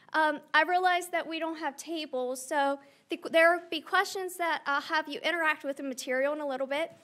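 A woman speaks at a moderate pace with ordinary pitch variation. Her tone is bright and sharp. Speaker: environmental science lecturer. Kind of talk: interactive workshop. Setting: stage with audience. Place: hall. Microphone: podium.

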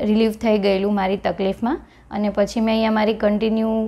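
A woman speaks with a dark, mellow tone and monotone, flat intonation. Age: 30s. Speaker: gynaecologist and physiotherapy patient. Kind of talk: patient testimonial.

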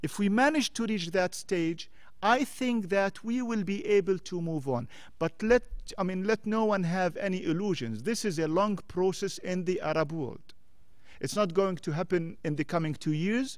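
This man has a high pitch and lively intonation at a moderate pace. The background is quiet. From Jordan. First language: Arabic. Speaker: former diplomat. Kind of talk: panel discussion talk. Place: hall. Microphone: podium.

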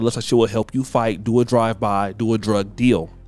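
A man at medium pitch and a fairly quick pace, fairly even in intonation, with music in the background. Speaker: commentary YouTuber. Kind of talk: casual talk to camera.

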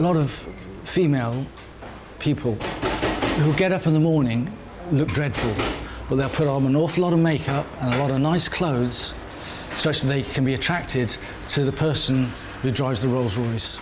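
A man speaks at a moderate pace and a fairly high pitch, with ordinary pitch variation and very even loudness. Long, frequent pauses break up his speech, and background noise is noticeable. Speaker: documentary interviewee; interviewee. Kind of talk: interview. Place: cafe.

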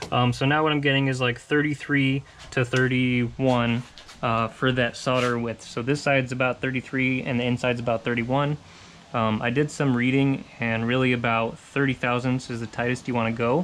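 A moderate pace with light noise in the background. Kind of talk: tutorial. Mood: relaxed, self-deprecating. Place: garage. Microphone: phone near.

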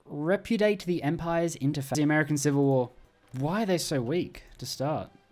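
A speaker with an Australian accent talks over music in the background. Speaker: gaming YouTuber. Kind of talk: gameplay commentary. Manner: casual, conversational.

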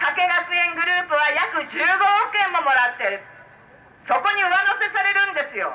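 Her voice raised and projected, a woman speaks with ordinary pitch variation. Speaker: politician giving a campaign speech. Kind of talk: political street speech. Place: street. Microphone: pa.

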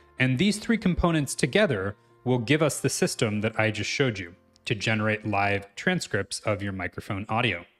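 Faint music in the background behind a man's moderate pace. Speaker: programming instructor. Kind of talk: tutorial.

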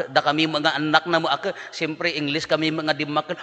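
A man's animated voice at a fairly high pitch and moderate pace, with noticeable background noise. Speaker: priest giving homily. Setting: church or mass with a congregation. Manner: animated, jokey, conversational; earnest and exhortative, preaching about the heart and correction.

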